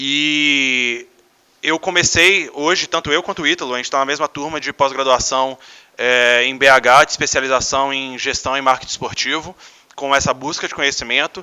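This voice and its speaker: A man's fairly high-pitched, an ordinary speaking voice, at a moderate pace with fairly even intonation. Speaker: American football team executive. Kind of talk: conference talk. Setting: stage with audience.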